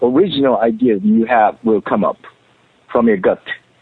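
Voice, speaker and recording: A man talks with a Japanese accent. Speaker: author and company president. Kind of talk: radio interview. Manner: halting, searching for words.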